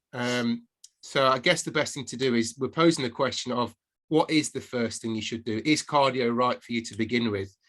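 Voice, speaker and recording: With an English accent and fairly even intonation, a man speaks at a moderate pace on a very clean recording with a silent background. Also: medium pitch for a man. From England. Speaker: podcast co-host, fitness coach. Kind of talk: casual podcast chat.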